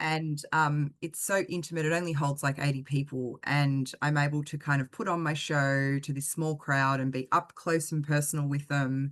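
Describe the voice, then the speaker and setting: In an Australian accent, a woman speaks at a moderate pace in a very deep, low pitch, with monotone, flat intonation and hardly any pauses. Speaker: singer-songwriter. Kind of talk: interview answer.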